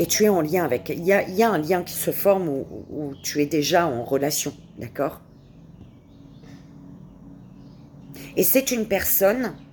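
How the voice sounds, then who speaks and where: At a very slow pace, a woman speaks with long, frequent pauses. Her fairly low voice carries lively intonation. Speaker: tarot card reader. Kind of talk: tarot reading. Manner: halting, repetitive.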